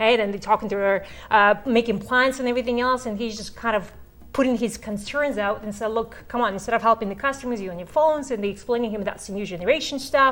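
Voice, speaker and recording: A woman with a non-native accent talks at a very fast pace, fairly high in pitch with ordinary variation. Noticeable background noise is present. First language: not English. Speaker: real estate course instructor. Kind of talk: instructional talk. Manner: conversational.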